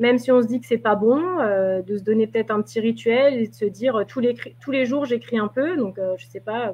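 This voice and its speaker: Fairly high-pitched, a woman speaks at a fairly quick pace with ordinary pitch variation. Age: 30s. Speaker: novelist. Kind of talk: interview. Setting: live video stream. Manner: halting.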